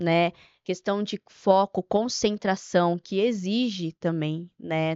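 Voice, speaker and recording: A woman talks at a medium pitch, very slowly, keeping her intonation fairly even. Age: young. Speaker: nutritionist. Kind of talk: podcast interview.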